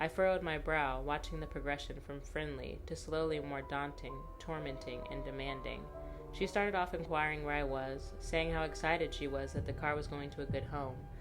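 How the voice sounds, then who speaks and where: With music in the background, a woman talks at a moderate pace with hardly any pauses. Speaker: storyteller. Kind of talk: horror story narration.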